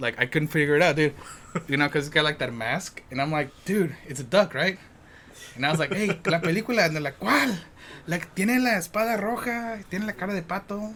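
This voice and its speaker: With a Spanish accent, the speaker moves at a fairly quick pace using lively intonation. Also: man, high pitch for a man. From Mexico. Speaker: podcast host. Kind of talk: casual chat. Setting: filmed on camera indoors. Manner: halting, many fillers.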